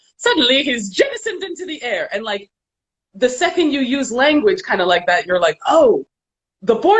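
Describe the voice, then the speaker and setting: The woman talks fairly quickly. Her pitch swings very widely. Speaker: animation director. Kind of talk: casual chat. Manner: fast.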